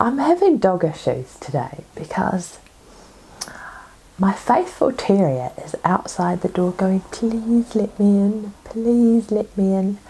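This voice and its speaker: Speaking at a very slow pace, a woman uses a medium pitch. Background noise is noticeable. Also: lively intonation. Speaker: knitting podcaster. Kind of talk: casual chat.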